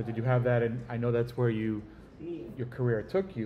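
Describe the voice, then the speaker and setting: The voice is somewhat breathy and moves at a fairly quick pace. Light background noise can be heard. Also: man. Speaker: family member interviewing elderly father. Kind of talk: casual family chat. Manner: animated. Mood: reminiscing, calm. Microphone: phone near.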